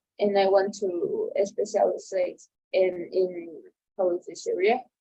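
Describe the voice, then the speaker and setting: A woman with a Spanish accent, speaking at a very slow pace. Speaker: translation student. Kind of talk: casual chat. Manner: halting, with many repetitions and fillers.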